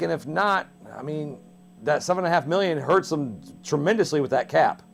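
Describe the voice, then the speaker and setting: With music in the background, this man talks, his pitch varying in an ordinary way. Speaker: TV sports show host. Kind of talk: sports interview, host questions. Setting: TV studio.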